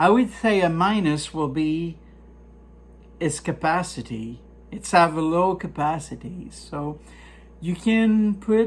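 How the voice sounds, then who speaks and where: Speech comes at a very slow pace, broken by long, frequent pauses. The recording is very clean, with a silent background. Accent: French. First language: French. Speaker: product reviewer, poultry hobbyist. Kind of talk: product review tutorial. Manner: halting, many fillers; casual.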